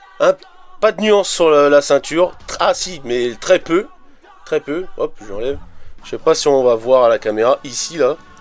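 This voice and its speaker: A man's fairly high voice over music in the background, fairly slow with long, frequent pauses, lively intonation and big swings in loudness. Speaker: toy collector YouTuber. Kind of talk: casual product review. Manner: halting, many repetitions and fillers.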